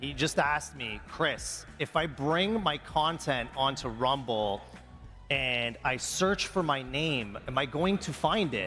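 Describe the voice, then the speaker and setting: Music plays behind a man with a Canadian accent, and the room echo is audible. His fairly high voice moves very slowly with lively intonation. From Canada, Brampton near Toronto. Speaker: tech company founder. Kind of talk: on-stage interview. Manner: hesitant, many fillers.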